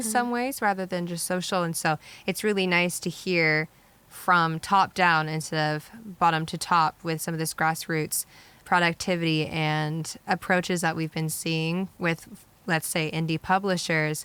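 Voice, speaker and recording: Speaking fairly slowly with fairly even intonation, a woman with an ordinary speaking voice and fairly low pitch comes through on a very clean recording with a silent background. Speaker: podcast co-host. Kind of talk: casual podcast conversation.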